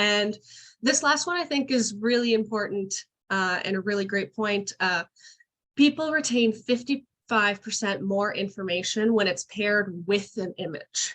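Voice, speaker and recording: A woman speaks at a fairly slow pace and medium pitch. Her intonation is lively. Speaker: webinar presenter for a women's organization. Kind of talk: tutorial webinar. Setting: video call.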